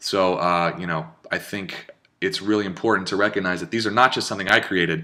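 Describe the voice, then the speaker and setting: Talking at a very fast pace, a man has a fairly low pitch, a bright, sharp tone and ordinary pitch variation. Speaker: digital marketer. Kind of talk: webinar presentation. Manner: animated.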